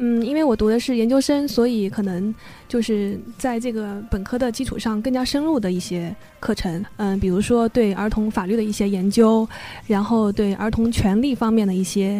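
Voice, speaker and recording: A woman at a moderate pace, ordinary pitch variation, music in the background. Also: fairly high pitch for a woman. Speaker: former overseas student, children's book editor. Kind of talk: interview. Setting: studio.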